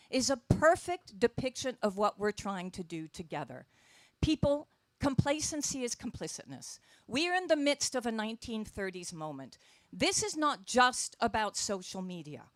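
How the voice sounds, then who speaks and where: A woman with an American accent, fairly high in pitch, at a moderate pace with very wide pitch swings and big swings in loudness. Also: dry, close sound with no echo. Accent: American-sounding English. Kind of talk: rhetorical public speech. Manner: forceful, impassioned delivery.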